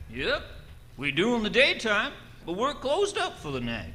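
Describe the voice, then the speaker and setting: A man's put-on, gruff character voice in a rural American accent, at a moderate pace over clear background noise. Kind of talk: 1940s radio acting. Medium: old radio play. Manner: gruff, blunt.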